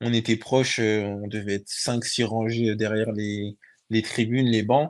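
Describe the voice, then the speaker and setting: A man speaks at a fairly slow pace in a medium pitch, his intonation monotone and flat. The background is quiet. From France, Paris region (Sarcelles). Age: 20s. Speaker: professional footballer. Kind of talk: interview.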